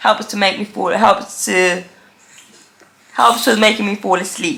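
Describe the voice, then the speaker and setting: Noticeable background noise sits behind a woman speaking at medium pitch and a moderate pace with fairly even intonation. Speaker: deaf vlogger with cochlear implant. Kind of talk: casual vlog chat. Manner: speaks differently to feel own voice vibration.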